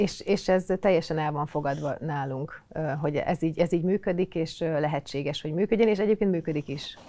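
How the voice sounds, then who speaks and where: This woman's voice sits fairly low in pitch with ordinary pitch variation. Her pace is moderate. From eastern Hungary, Hajdú-Bihar county; Hungary. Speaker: recruitment lead and mother; podcast guest. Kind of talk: casual chat. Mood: calm, reflective. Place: studio. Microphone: lapel.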